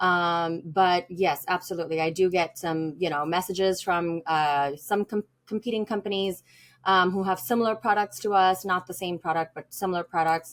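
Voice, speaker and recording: The woman's pitch is fairly low, her intonation fairly even. She speaks at a moderate pace on a very clean recording with a silent background. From India. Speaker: business owner. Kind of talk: podcast interview. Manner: halting, many fillers.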